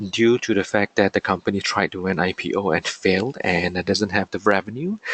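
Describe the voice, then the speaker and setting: Noticeable background noise sits under the speech. It has ordinary pitch variation and keeps a moderate pace. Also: man, dry, close sound with no echo. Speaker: affiliate marketer. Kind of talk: webinar presentation. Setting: online webinar. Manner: halting.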